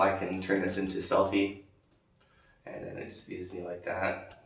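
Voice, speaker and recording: The man's fairly low voice is monotone, with flat intonation. Audible room echo surrounds him. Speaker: expat vlogger. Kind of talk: casual vlog tutorial. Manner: casual with many fillers.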